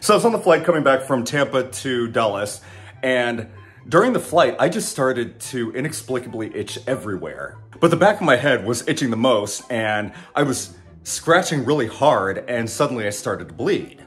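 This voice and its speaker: A man speaking at a moderate pace, with faint music in the background. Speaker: flight attendant vlogger. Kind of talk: casual vlog chat. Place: kitchen. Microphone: phone near.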